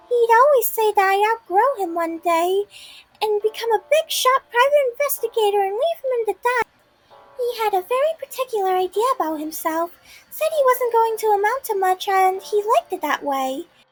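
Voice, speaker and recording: A woman puts on a squeaky character voice at an extremely high pitch, delivered at a moderate pace. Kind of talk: hard-boiled voice-over. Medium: read story. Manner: eager, chatty.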